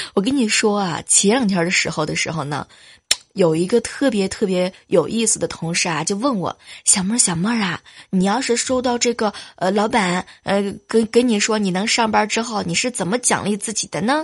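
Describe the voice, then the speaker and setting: Speech comes at a medium speed, its pitch shifting normally. There's a somewhat breathy quality to it. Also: woman, medium pitch for a woman. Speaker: podcast host. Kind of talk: comedic monologue. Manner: animated; laughing often.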